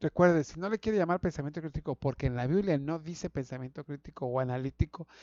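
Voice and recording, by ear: The voice has a dark, mellow tone and moves at a fast pace. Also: man, fairly high pitch for a man, ordinary pitch variation, dry, close sound with no echo.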